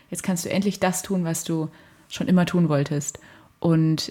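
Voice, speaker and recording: The somewhat breathy voice moves along at a moderate pace. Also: woman. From Germany, Fulda (Hesse). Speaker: university student. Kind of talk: casual chat. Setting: studio in a flat.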